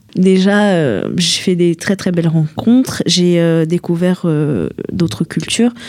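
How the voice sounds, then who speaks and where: Against noticeable background noise, a woman speaks very slowly in a fairly low pitch, with ordinary pitch variation and very even loudness. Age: 20s. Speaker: young traveller. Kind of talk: radio interview.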